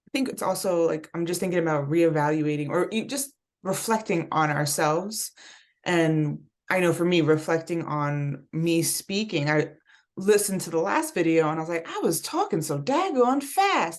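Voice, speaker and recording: A woman with an unremarkable speaking voice talks at a fairly low pitch with ordinary pitch variation. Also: moderate pace. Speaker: spiritual wellness host. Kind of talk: casual chat.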